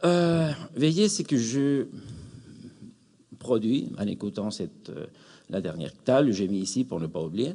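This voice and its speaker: A man speaks at a medium pitch with a dark, mellow tone and very wide pitch swings. His pace is very slow, with long, frequent pauses over a quiet background. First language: Spanish (speaking French). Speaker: academic, psychoanalysis in education. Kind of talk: conference closing remarks. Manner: hesitant, many fillers.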